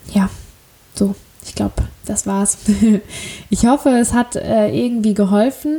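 Over noticeable background noise, a woman with a fairly high pitch talks at a fairly slow pace, with long, frequent pauses and big swings in loudness. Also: ordinary pitch variation. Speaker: podcaster. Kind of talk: casual monologue. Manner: hesitant, many fillers.

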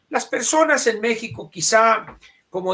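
A man speaks at a fairly slow pace in a bright, sharp tone. His intonation is lively. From Sonora, Mexico. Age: 70s. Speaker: political commentator. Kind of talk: casual chat.

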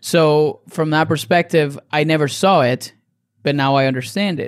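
Fairly slow, fairly high-pitched delivery from a man. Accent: Spanish. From Venezuela, Caracas. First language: Spanish. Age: 30s. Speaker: dietitian and nutrition coach. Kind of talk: casual interview.

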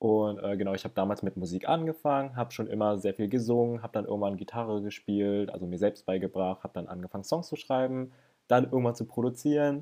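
Against a quiet background, a man with a fairly low pitch and a dark, mellow tone talks at a very fast pace with ordinary pitch variation. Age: 20s. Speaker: YouTuber, guest. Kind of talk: casual chat.

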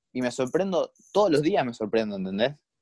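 A man with a Rioplatense accent, medium pitch, lively intonation and a dark, mellow tone, in a dry, close sound with no echo. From Argentina, Buenos Aires area. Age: 20s. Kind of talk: interview.

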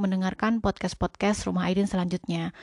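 Against a quiet background, a woman speaks at a medium pitch with a dry, close sound and no echo. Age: 30s. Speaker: podcast host, homemaker. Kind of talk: casual chat.

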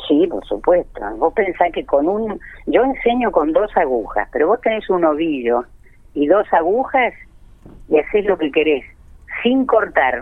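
A woman at medium pitch and a fairly slow pace, with very wide pitch swings. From Argentina, Buenos Aires province countryside. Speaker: knitting teacher and online video creator. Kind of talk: interview.

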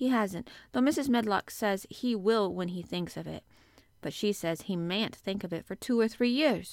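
Someone is reading aloud in a natural voice.

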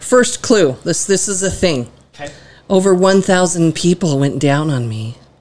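A woman speaks in an ordinary speaking voice, her fairly low pitch carried by lively intonation at a moderate pace. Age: 40s. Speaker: podcast guest, a co-host's mother. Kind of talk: casual chat.

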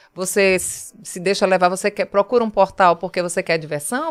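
A woman speaks at a fairly quick pace in a Pernambuco accent, her pitch medium, on a very clean recording with a silent background and a dry, close sound free of echo. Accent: northeastern Brazilian (Pernambuco). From Pernambuco Agreste, Brazil. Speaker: TV journalist. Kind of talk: casual chat.

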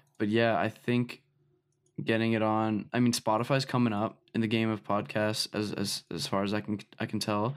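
Over a very clean recording with a silent background, a man with a plain, everyday voice talks at a fairly low pitch, at a moderate pace, with fairly even intonation. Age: young. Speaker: music producer and artist. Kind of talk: casual chat. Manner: casual, many fillers.

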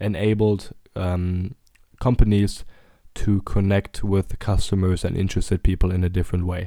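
A man's fairly low voice carries a dark, mellow tone on a very clean recording with a silent background. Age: 20s. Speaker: podcast host and startup founder. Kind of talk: solo podcast monologue. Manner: hesitant with many fillers.

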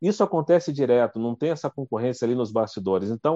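In a dark, mellow tone, the voice moves at a very fast pace with ordinary pitch variation. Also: man, dry, close sound with no echo. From Rio de Janeiro state, Brazil (Duque de Caxias). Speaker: TV journalist and news anchor. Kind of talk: casual interview chat. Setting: live video stream.

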